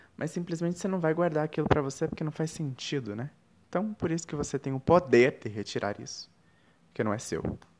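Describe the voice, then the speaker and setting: Very fast and with lively intonation, a man talks at a fairly high pitch. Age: 20s. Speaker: podcast host. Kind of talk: reflective spiritual monologue.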